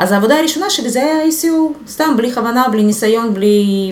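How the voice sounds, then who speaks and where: A woman with a Russian accent at fairly high pitch, lively intonation and a moderate pace, with audible room echo and noticeable background noise. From Ukraine, Luhansk region. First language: Russian (speaking Hebrew). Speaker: SEO specialist. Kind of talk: casual interview.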